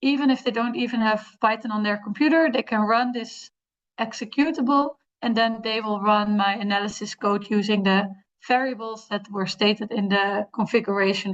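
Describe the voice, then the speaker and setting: A woman with a fairly high pitch speaks in fairly even intonation. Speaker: fellowship participant presenting project. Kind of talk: project presentation. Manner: halting, many fillers; fast.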